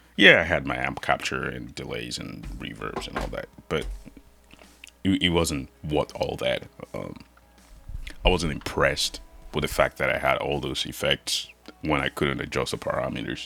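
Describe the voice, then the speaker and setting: With music in the background, a man talks with long, frequent pauses. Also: moderate pace. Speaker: guitar gear YouTuber. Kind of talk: casual product review rant. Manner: hesitant, many fillers and repeats.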